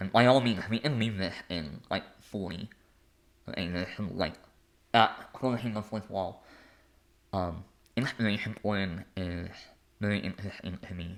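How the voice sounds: A man's low voice at a fairly slow pace, with long, frequent pauses. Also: ordinary pitch variation.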